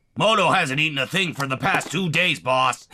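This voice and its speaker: A man puts on a cartoonish character voice with a fairly high pitch. He speaks at a moderate pace. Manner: servile.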